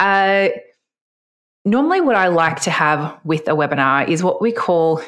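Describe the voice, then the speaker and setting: Her fairly low voice carries lively intonation as the woman speaks. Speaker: podcast host. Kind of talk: solo podcast tutorial. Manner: fast talker.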